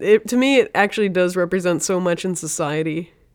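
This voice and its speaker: A woman with an ordinary speaking voice talks at medium pitch and a moderate pace in a very clean recording with a silent background. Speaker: podcast co-host, cartoonist. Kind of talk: casual banter. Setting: studio. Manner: teasing, playful.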